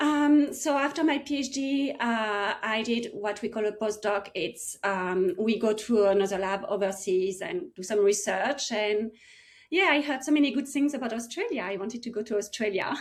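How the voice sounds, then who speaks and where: A woman in a French accent speaks at a moderate pace, fairly high in pitch, with lively intonation. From France, small village near Paris. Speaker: medical researcher and coach for mothers. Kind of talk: podcast interview. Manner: hesitant, with fillers.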